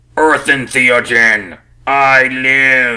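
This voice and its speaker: Putting on a character voice, a man booms out loudly at a medium pitch. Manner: loud, sudden, announcing.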